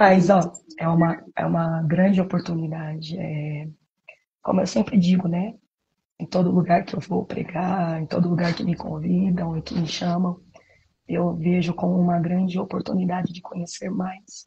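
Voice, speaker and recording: Soft-spoken and monotone, a woman talks at a moderate pace, her loudness swinging widely. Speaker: preacher. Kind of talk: live stream sermon. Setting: live stream from home apartment.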